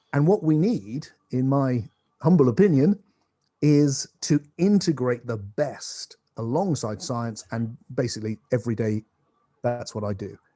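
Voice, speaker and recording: A man of medium pitch talks at a fairly slow pace with lively intonation and a dark, mellow tone, recorded dry and close with no echo. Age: 60s. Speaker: philosopher and spiritual teacher. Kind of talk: conversational interview. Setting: video call across continents. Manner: animated.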